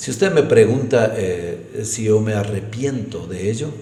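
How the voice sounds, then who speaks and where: Noticeable noise sits in the background. Room echo is audible too. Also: man. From Ecuador, Imbabura (San Antonio de Ibarra). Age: 60s. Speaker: politician. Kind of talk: interview.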